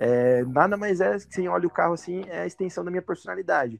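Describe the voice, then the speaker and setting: In a very clean recording with a silent background, a man speaks in a plain, everyday voice at a fairly quick pace with lively intonation. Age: 30s. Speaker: lowrider car owner. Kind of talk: casual chat.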